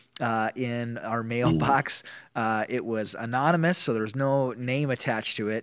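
A man with a normal speaking voice talks at a moderate pace, at medium pitch with ordinary pitch variation. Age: 40s. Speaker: pastor. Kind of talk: casual interview.

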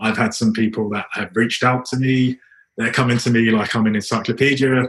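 A somewhat breathy man with a British accent talks at a fairly quick pace. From UK. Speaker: project manager. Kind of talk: interview answer.

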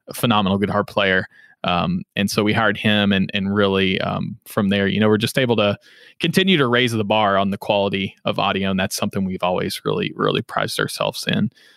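A man's fairly low voice in a flat monotone, dry and close with no echo, on a very clean recording with a silent background. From Western Kentucky (Henderson). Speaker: podcast production company founder and CEO. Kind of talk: casual interview.

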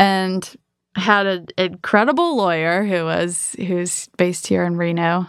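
A woman with an American accent uses an ordinary speaking voice, fairly low in pitch, with fairly even intonation at a fairly slow pace. The recording is very clean, with a silent background. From Michigan, US. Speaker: entrepreneur. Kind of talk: interview.

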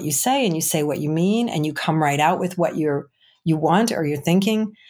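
With an American accent, a woman talks in a normal speaking voice, fairly low in pitch with ordinary variation, at a moderate pace on a very clean recording with a silent background. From Chicago. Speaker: recruiting agency owner and career coach. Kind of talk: podcast interview.

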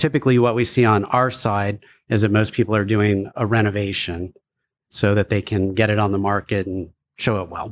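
A man with an ordinary speaking voice, fairly low in pitch, at a fairly quick pace against a quiet background. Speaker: home staging business owner. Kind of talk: casual interview.

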